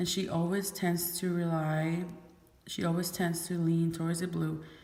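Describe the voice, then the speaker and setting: In a room with audible echo, a woman speaks at a moderate pace in a fairly low, somewhat breathy voice with monotone, flat intonation. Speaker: beauty vlogger. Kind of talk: product haul video. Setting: garage. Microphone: echo in the room.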